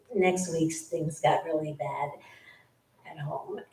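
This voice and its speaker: There is audible echo from the room. A woman talks at a fairly slow pace. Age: 70s. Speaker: former temple resident sharing experience. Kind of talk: testimony. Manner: halting.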